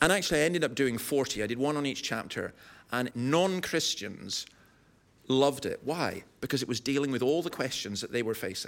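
Pitch shifts in an ordinary way as the words come at a fairly quick pace. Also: man, fairly high pitch for a man. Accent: Scottish Highland. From Scottish Highlands. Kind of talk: live podcast interview. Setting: live audience.

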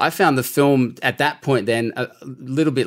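A man talks in an unremarkable speaking voice at a medium pitch and moderate pace, with ordinary pitch variation. The recording is very clean, with a silent background. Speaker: radio presenter, guest co-host. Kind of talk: casual film review chat.

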